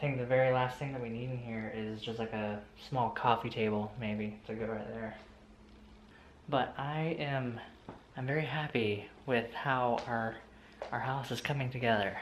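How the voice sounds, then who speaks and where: A man talks at a fairly slow pace and quietly. Audible room echo surrounds his voice. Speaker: vlogger. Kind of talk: casual vlog narration. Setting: at home. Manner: speaking quietly; hesitant, filler-heavy.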